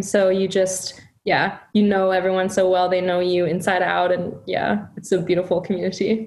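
Background noise is clearly audible. Through it, a woman talks. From Germany. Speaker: music event director. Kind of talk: casual interview. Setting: video call.

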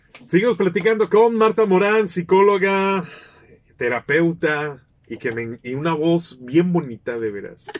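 A man speaks at a fairly slow pace with a high pitch. His pitch swings very widely and his loudness varies a lot. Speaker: radio host. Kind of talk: radio interview.

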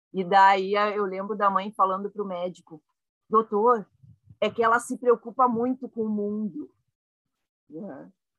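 A woman's medium-pitched voice with ordinary pitch variation, at a fairly slow pace with long, frequent pauses, big swings in loudness, and a dry, close sound with no echo. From Rio Grande do Sul, Brazil (Caxias do Sul). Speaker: laughter yoga leader. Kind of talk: casual chat.

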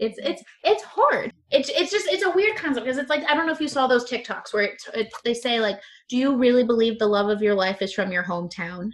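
A woman talks at a fairly quick pace in a high pitch. Her pitch swings very wide. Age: 20s. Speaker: podcast host. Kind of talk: casual chat. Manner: repeats words, mild stutter; rambling.

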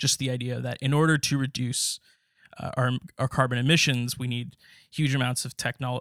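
With an American accent, a man talks at a fairly quick pace in a medium pitch, his intonation monotone and flat. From US West, Los Angeles. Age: 20s. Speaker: student podcast host. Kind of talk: interview; scripted narration.

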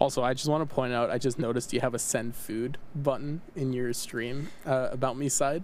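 A man with an ordinary speaking voice at medium pitch, talking at a moderate pace with hardly any pauses. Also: fairly even intonation. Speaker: podcast host. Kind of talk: casual chat.

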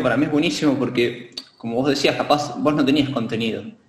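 Lively intonation and a fairly quick pace come through with audible room echo. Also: man. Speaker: martial arts instructor. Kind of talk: casual chat. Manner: halting, many fillers.

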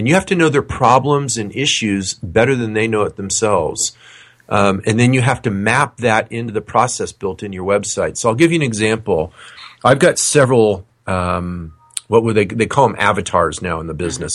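A man with an unremarkable speaking voice uses lively intonation and keeps to a moderate pace. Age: 50s. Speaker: financial coach. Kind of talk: interview.

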